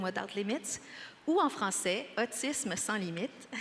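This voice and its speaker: Here is a woman with a Quebec accent. Her voice sits at a medium pitch. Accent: Québécois French accent in English. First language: French. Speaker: nonprofit general manager. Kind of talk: panel discussion. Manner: hesitant, many fillers.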